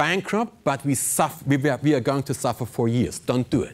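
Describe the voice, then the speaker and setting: A man with a non-native accent speaks at a fairly quick pace. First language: not English. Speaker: pilot and motivational speaker. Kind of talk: keynote speech. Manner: animated.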